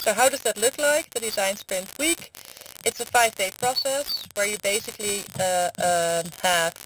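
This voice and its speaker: A woman with a fairly high pitch and lively intonation talks at a moderate pace while noticeable background noise is present. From Netherlands. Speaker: lecturer, design sprint consultant. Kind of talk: online lecture.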